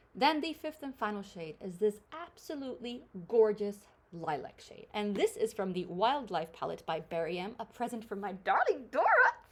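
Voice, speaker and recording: A woman with a fairly high pitch swings very widely in pitch and shows big swings in loudness. Noticeable background noise runs underneath. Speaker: beauty vlogger. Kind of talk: casual chat. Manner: fast; animated.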